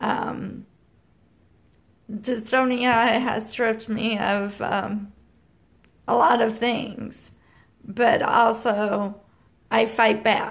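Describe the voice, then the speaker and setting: Audible room echo surrounds speech with a monotone, flat intonation. The pace is very slow, with long, frequent pauses. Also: woman. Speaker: vlogger with chronic illness. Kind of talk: personal vlog. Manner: halting.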